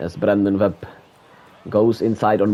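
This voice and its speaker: A man's fairly low voice with a non-native accent at a moderate pace, music in the background. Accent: noticeable non-native. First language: not English. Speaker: gaming streamer. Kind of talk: live play-by-play commentary of a video game. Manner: halting.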